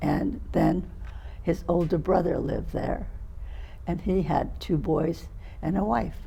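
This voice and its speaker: Audible room echo surrounds a woman with an American accent who talks at a fairly slow pace with long, frequent pauses. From California. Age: 80s+. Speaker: interviewee, family elder. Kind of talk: oral history interview.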